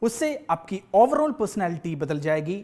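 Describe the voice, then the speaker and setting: A man's high voice with a Malayalam accent, very wide pitch swings, and a very clean recording over a silent background. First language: Malayalam (speaking Hindi). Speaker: education centre manager. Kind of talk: scripted presentation. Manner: formal.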